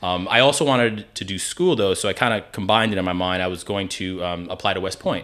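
Using hardly any pauses, a man with a fairly low pitch talks at a very fast pace with ordinary pitch variation. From New Jersey. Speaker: lawyer and army veteran. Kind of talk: casual interview.

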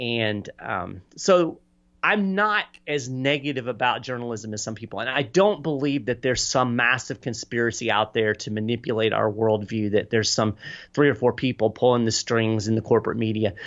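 With an American accent, an ordinary speaking voice moves at a moderate pace with ordinary pitch variation. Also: man, medium pitch for a man. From Kentucky, US. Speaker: political advocacy communications director and author. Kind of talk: podcast interview.

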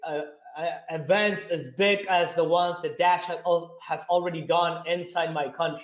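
A man with a high-pitched voice. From Venezuela. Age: 20s. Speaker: Bitcoin company CEO. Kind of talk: casual interview. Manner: animated, casual.

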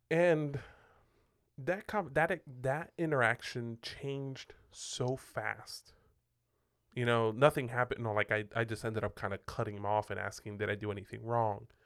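A man speaks at a moderate pace with a medium pitch and ordinary pitch variation. The recording is very clean, with a silent background. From Puerto Rico. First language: Spanish. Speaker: pastor, podcast co-host. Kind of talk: casual chat. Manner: halting, filler-heavy.

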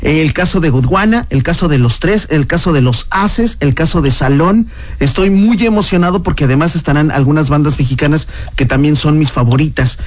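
Over noticeable background noise and audible room echo, a man talks at a moderate pace in a fairly high pitch, with lively intonation and very even loudness. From Mexico. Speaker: radio host. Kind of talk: radio interview. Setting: studio.

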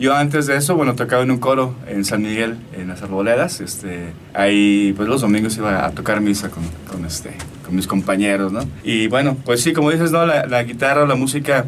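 A man at medium pitch with ordinary pitch variation and a fairly quick pace, plus audible room echo and noticeable background noise. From Mexico, Aguascalientes. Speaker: musician. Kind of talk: interview. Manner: halting.

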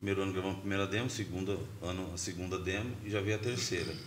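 There's audible room echo as a somewhat breathy man speaks at a very fast pace. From São Paulo state, Brazil. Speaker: grindcore band musician. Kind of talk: casual interview chat. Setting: podcast studio.

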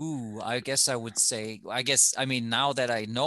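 A man with a German accent at medium pitch, bright and sharp in tone, moderate in pace, with ordinary pitch variation and a quiet background. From Germany. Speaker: former TV reporter, podcast co-host. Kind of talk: casual chat.

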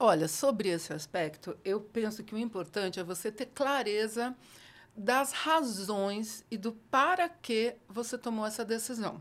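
A woman speaks in an ordinary speaking voice at a fairly slow pace. Her pitch is fairly high and her intonation lively. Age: 60s. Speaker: educator. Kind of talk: casual interview.

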